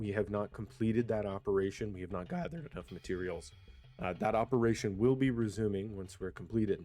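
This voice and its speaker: Over music in the background, a quiet man with a fairly low pitch talks at a very fast pace with ordinary pitch variation. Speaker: gaming community leader. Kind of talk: roleplay community briefing. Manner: hesitant, many fillers.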